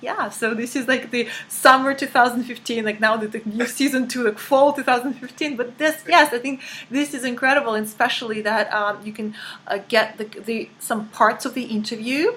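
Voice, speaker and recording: A woman with a Russian accent, high in pitch, at a moderate pace and with fairly even intonation, amid noticeable background noise. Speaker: life coach. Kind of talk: interview. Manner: halting.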